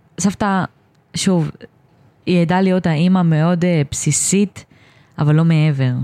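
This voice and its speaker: Long, frequent pauses break up a woman's speech. Her voice has a fairly low pitch and a dark, mellow tone. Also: moderate pace, very even loudness. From Israel, Ashdod and Or Yehuda. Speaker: special education student. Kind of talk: personal testimony interview. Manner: halting.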